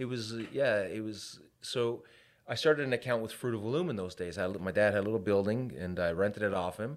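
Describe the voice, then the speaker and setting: A man with a plain, everyday voice and a Canadian accent, fairly low in pitch with ordinary pitch variation, at a fairly quick pace on a very clean recording with a silent background. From Canada, Hamilton, Ontario. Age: 40s. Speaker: business owner. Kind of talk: casual chat.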